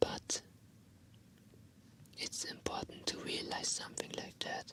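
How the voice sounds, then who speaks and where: A fairly slow whisper over noticeable background noise. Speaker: indie vtuber streamer. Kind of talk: whispered ASMR talk to camera, casual chat. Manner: whispered, soft-spoken.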